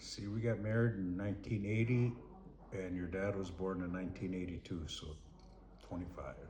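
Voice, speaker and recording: Here a man with an Upper Midwest accent and a very deep, low pitch talks at a moderate pace with fairly even intonation and long, frequent pauses, in audible room echo. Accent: Upper Midwest (Minnesota). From Minnesota. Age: 60s. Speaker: retired lineman, grandfather. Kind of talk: family interview. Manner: halting.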